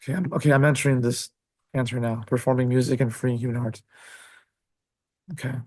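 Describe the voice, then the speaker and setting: A somewhat breathy man at medium pitch talks at a very fast pace with fairly even intonation. Long, frequent pauses break up his speech. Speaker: relationship coach. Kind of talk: coaching session.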